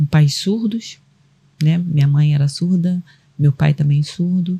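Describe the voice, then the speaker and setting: The woman's voice is somewhat breathy with a dark, mellow tone, heard in a dry, close sound with no echo. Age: 60s. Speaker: caregiver and sign language interpreter, guest. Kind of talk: personal testimony in podcast interview.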